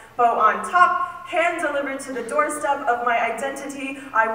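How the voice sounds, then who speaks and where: Amid noticeable background noise, a woman speaks in a raised, projected voice at a high pitch with ordinary pitch variation. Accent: American. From Southern United States. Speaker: spoken word poet. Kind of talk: spoken word poetry performance.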